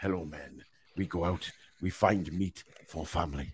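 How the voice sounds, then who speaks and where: A man in a put-on character voice, very deep and low in pitch, at a moderate pace with fairly even intonation. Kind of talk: broken simple speech. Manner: primitive, grunting.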